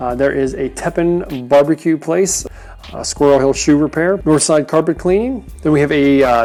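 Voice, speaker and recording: Over noticeable background noise, a woman with a very deep, low pitch speaks at a moderate pace and shows ordinary pitch variation. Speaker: local real estate vlogger. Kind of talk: vlog tour narration. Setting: outdoors riding a bike. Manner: animated.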